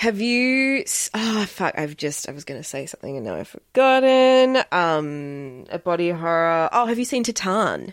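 A woman with an Australian accent speaks at a moderate pace and medium pitch, with hardly any pauses. Her pitch swings very widely. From Australia, Melbourne. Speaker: podcast host and actor. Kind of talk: casual chat. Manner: animated.

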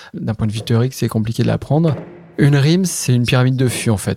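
Recorded very cleanly against a silent background, a man speaks with a dark, mellow tone. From Charente, France. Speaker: cellar master. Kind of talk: interview testimony. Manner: hesitant, with frequent fillers.

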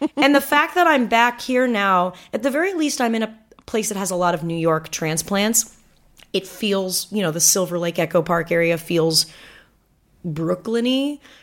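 With an American accent, a woman of medium pitch speaks at a moderate pace using very wide pitch swings. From Southern California, Manhattan Beach. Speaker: comedian and actor. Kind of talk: casual chat.

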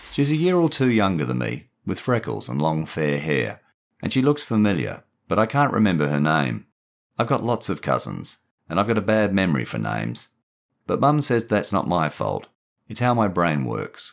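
This man speaks with an Australian accent in a very deep, low voice with vocal fry and a warm tone. His pitch swings very widely at a moderate pace. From Perth, Western Australia. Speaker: author and narrator. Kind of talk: literary audiobook reading of a short story. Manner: measured, warm storyteller pacing.

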